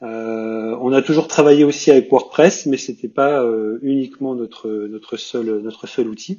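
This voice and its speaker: At a medium pitch, a man speaks at a fairly slow pace with hardly any pauses, ordinary pitch variation and big swings in loudness. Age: 40s. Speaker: web agency founder. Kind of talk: casual panel discussion. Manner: halting, many repetitions.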